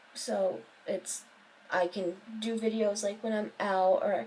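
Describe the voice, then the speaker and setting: Her tone dark and mellow, a woman at medium pitch speaks in a monotone, flat intonation. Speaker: vlogger. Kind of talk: casual vlog monologue. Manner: hesitant, many fillers.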